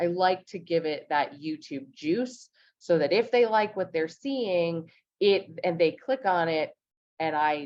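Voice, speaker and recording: A woman speaks with an American accent at a moderate pace. Her fairly low pitch makes very wide swings. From Los Angeles, US. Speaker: real estate content strategist. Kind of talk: webinar tutorial.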